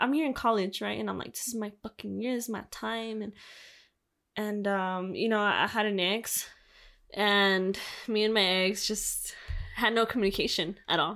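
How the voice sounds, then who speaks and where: In a Spanish accent, the speaker talks at a moderate pace with music in the background. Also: woman, fairly high pitch for a woman, ordinary pitch variation. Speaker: podcast co-host. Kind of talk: casual chat. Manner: halting.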